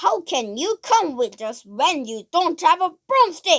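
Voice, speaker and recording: In a put-on character voice, a woman speaks at an extremely high pitch with very wide pitch swings. Her pace is fairly slow. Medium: read story. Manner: bossy, dismissive.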